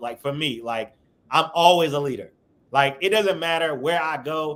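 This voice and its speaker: This man speaks at a fairly high pitch. His pace is moderate, with ordinary pitch variation. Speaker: radio personality. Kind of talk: interview conversation. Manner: loud, boisterous.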